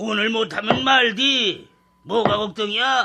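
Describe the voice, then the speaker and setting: A put-on character voice from a man, raspy and high-pitched, raised and projected, at a fairly slow pace with fairly even intonation. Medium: audio drama. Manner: lazy, surly, dismissive.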